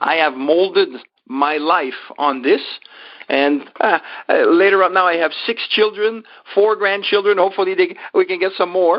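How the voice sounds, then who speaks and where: A French-Canadian accent at a moderate pace. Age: 60s. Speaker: life coach and motivational speaker. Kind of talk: interview.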